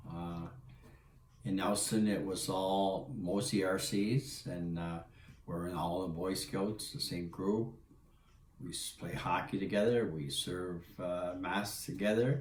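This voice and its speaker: A man with a New Brunswick accent and a very deep, low pitch, at a very slow pace with ordinary pitch variation, amid audible room echo and noticeable background noise. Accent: Miramichi New Brunswick English. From Atlantic Canada, New Brunswick (Miramichi). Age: 70s. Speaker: interviewee telling his life story. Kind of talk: family interview, life story.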